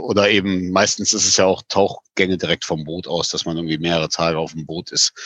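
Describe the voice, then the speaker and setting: A man's very deep, low voice at a very fast pace with hardly any pauses. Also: dry, close sound with no echo. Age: 40s. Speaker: camping store owner. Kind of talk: casual interview.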